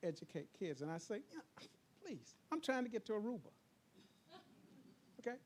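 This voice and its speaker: Extremely high in pitch, a man talks at a moderate pace with very wide pitch swings. He leaves long, frequent pauses. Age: 60s. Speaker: invited speaker, demographics expert. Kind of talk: presentation to a board meeting. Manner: animated.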